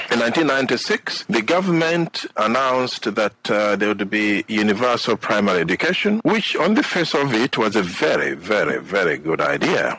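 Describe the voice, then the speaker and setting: Over noticeable background noise, a man speaks at a moderate pace with very even loudness and hardly any pauses. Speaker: political candidate and radio show co-host. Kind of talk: political radio talk.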